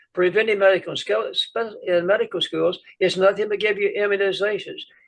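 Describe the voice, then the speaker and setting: Speaking at a fairly quick pace, this man has a high voice. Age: 80s+. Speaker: physician, preventive medicine pioneer. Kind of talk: interview answer. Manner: energetic.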